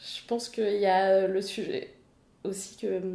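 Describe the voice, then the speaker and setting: A woman speaks at a medium pitch. Noticeable noise sits in the background. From France, Paris. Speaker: ultra-distance cyclist and triathlete. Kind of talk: casual interview.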